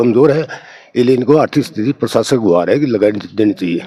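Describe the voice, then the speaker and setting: A man speaks with a medium pitch and a dark, mellow tone. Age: 70s. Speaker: retired soldier, neighbour. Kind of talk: news interview.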